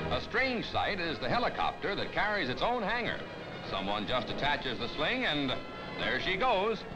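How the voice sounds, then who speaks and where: A man speaks at a moderate pace while music plays clearly in the background. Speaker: newsreel narrator. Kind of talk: 1950s newsreel narration. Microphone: old recording.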